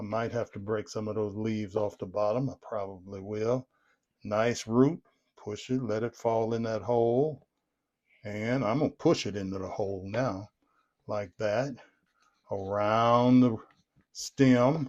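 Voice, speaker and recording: A man with a Southern US accent speaks in a relaxed tone at a fairly slow pace, with fairly even intonation. He leaves long, frequent pauses. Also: medium pitch for a man. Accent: Southern American. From Southern United States. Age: 70s. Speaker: gardener. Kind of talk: casual gardening how-to talk to camera. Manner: relaxed, folksy.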